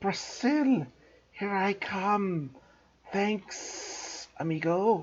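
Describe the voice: A put-on character voice at a middle pitch unfolds at a very slow pace.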